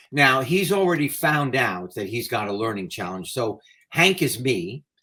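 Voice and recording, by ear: A passage read aloud in a natural voice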